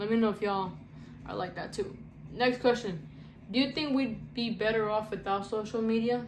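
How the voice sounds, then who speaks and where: With audible room echo, a woman speaks at a moderate pace in a somewhat breathy, fairly high voice with ordinary pitch variation. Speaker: content creator. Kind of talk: casual Q&A vlog. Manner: halting, self-described stuttering; casual, slangy.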